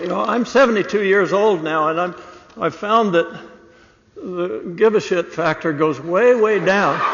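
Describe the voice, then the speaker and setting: Noticeable background noise sits behind the voice. The speech is fairly slow, with ordinary pitch variation. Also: man, high pitch for a man. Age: 70s. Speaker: award recipient. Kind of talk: acceptance speech. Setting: stage with audience. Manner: casual, with many fillers.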